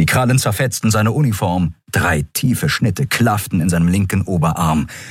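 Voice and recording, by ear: Someone reads the text aloud in a natural voice.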